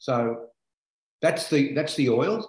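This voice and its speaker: Over a quiet background with audible room echo, a man talks at a moderate pace. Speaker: essential oils presenter. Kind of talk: explanatory talk. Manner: enthusiastic, earnest. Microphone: video call.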